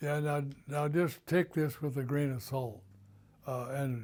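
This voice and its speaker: The speaker has a dark, mellow tone, is somewhat breathy, and talks at a very slow pace with ordinary pitch variation. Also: man. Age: 90s. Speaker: WWII merchant marine veteran. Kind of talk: oral history interview.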